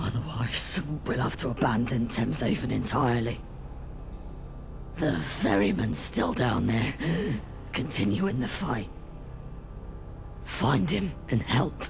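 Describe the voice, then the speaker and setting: Amid loud background noise, a man in a put-on character voice speaks at a fairly slow pace and medium pitch, with very even loudness and long, frequent pauses. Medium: video game. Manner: earnest, firm.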